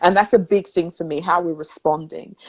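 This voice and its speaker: Fairly quick in pace, a woman's voice comes through dry and close with no echo. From London, England. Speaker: spiritual talk show host. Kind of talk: casual chat. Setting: live video stream.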